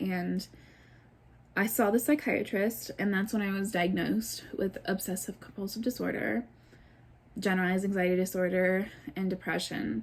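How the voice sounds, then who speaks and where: A woman's somewhat breathy voice with lively intonation, broken by long, frequent pauses. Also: medium pitch for a woman, moderate pace. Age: 20s. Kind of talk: casual talk to camera.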